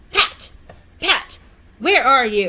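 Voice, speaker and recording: A woman speaks in a put-on character voice with a high pitch. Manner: angry, calling out.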